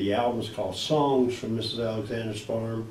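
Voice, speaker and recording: The recording carries noticeable background noise and an audible room echo. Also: man. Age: 60s. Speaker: folk singer-songwriter and children's author. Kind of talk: casual interview. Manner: halting, many fillers.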